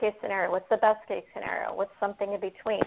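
A woman with an American accent speaks in a monotone, flat delivery at a medium pitch. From Fort Wayne, Indiana. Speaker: franchise owner.

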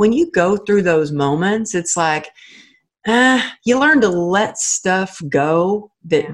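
Speaking at a very slow pace, a woman of medium pitch uses lively intonation with an American accent. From Texas. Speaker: author and motivational speaker. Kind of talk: interview.

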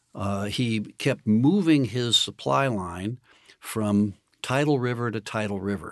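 A man's unremarkable speaking voice, medium in pitch with ordinary pitch variation, at a fairly slow pace against a quiet background. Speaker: historian and author. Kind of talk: interview about history, explanatory talk.

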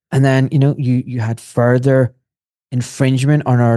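A man's medium-pitched, dark, mellow voice at a moderate pace with monotone, flat intonation, dry and close with no echo on a very clean recording with a silent background. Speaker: surgeon. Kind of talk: interview.

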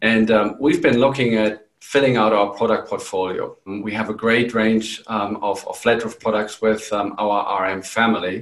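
With a slight German accent, a man of medium pitch talks at a moderate pace in a monotone, flat intonation, with hardly any pauses. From Germany. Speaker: company CEO. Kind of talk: professional interview.

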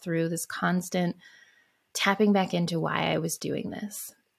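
In a very clean recording with a silent background, a woman with a fairly low, somewhat breathy voice speaks at a moderate pace. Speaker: podcast host. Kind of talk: pep talk. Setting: solo podcast recording. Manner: earnest, encouraging, personal.

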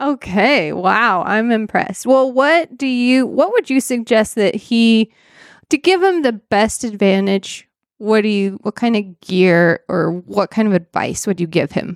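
A woman with an unremarkable speaking voice talks fairly slowly at a fairly high pitch, with lively intonation. The sound is dry and close with no echo, over a quiet background. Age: 30s. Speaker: podcast co-host. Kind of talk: casual chat.

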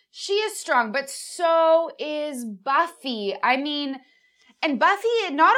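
In a raised, projected voice with a bright, sharp tone, the speaker goes at a very slow pace with very wide pitch swings. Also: woman. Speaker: podcast host and actress.

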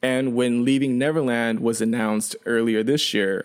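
With a Canadian accent, a man speaks at a moderate pace with ordinary pitch variation. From Chengdu, China; raised in Canada from age seven. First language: Sichuanese Chinese. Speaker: YouTuber and documentary filmmaker. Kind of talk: casual interview chat. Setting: remote call on earphones.

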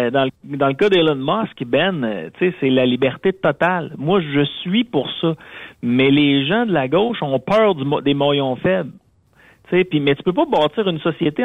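An ordinary speaking voice belongs to this man, pitched fairly high. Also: lively intonation, fairly slow pace. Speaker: radio contributor. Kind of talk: casual chat. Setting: phone call.

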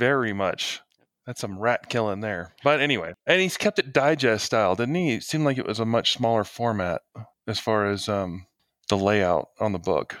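A man's medium-pitched, normal speaking voice with lively intonation at a moderate pace, on a very clean recording with a silent background. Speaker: game master, podcast co-host. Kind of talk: casual chat.

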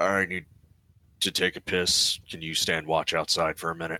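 Using a put-on character voice, a man speaks very deep and low at a moderate pace. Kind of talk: crude, casual.

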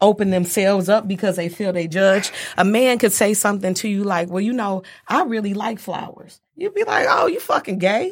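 At a moderate pace, a woman with a plain, everyday voice speaks with fairly even intonation. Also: medium pitch for a woman. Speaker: guest. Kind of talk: casual chat.

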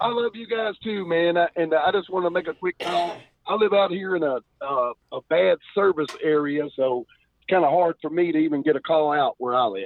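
A man talks at a moderate pace. His voice is high-pitched, with ordinary pitch variation. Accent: Kentucky. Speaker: caller. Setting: phone, in a truck. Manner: warm, heartfelt.

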